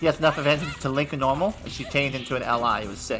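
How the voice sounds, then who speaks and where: Music plays in the background as a man talks at a very fast pace. His pitch is fairly high, with ordinary variation. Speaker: fighting game commentator. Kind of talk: esports commentary. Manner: excited, upbeat.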